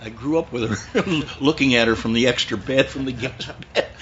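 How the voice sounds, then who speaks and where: A man's medium-pitched voice at a moderate pace, with ordinary pitch variation and noticeable background noise. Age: 70s. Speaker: old family friend. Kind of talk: casual chat.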